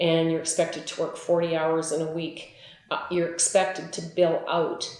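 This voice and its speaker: Speaking at a moderate pace in a Canadian Prairie accent, a woman with a fairly low pitch keeps a flat, monotone intonation, with noticeable background noise and audible room echo. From Manitoba, Canada. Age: 60s. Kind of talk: interview testimony. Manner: conversational, with frequent fillers.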